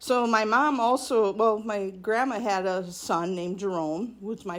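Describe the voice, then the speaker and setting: With a plain, everyday voice and an American accent, a woman speaks at a moderate pace with ordinary pitch variation. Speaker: school alumna. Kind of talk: interview, reminiscing.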